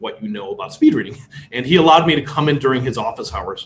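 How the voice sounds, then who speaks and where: A man with a Chicago accent. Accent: Chicago American English. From US Midwest, Chicago. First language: Polish. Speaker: speed reading instructor. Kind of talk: workshop lecture.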